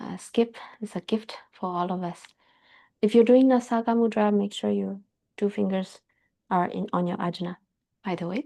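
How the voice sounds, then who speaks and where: Against a quiet background, a woman talks at a moderate pace in a dark, mellow, medium-pitched voice with fairly even intonation, leaving long, frequent pauses. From Myanmar. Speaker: yoga teacher. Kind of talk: guided yoga class. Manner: halting.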